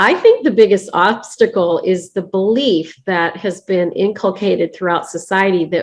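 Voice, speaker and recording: An ordinary speaking voice from a woman, medium in pitch, at a fairly slow pace. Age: 60s. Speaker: business coach and founder. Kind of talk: interview.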